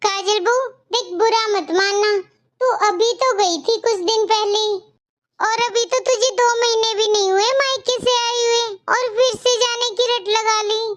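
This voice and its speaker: Putting on a cartoonish character voice, a woman talks at an extremely high pitch, her intonation fairly even. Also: moderate pace. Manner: lecturing, earnest.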